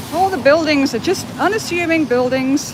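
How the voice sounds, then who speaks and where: Amid noticeable background noise and audible room echo, a woman with a Liverpool accent speaks at a high pitch and moderate pace with lively intonation. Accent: Liverpool (Scouse) English. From Liverpool, England. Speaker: animal rights activist. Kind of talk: live stream commentary. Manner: casual.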